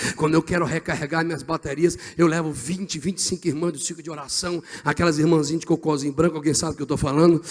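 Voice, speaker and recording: A man with a fairly high pitch and an animated tone, at a very fast pace with hardly any pauses. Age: 40s. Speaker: pastor. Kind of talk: sermon.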